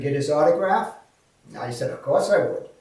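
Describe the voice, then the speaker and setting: There is audible room echo. A man speaks moderately paced. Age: 70s. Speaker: speaker and real estate investor. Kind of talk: video testimony. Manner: animated.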